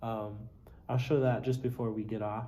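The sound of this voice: Audible room echo surrounds a dark, mellow tone. The pace is moderate and the intonation fairly even. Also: man.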